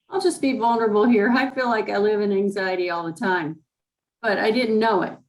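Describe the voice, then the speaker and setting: Ordinary pitch variation and a fairly quick pace in a woman's medium-pitched voice, a plain, everyday voice. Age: 60s. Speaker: class participant. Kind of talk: class Q&A.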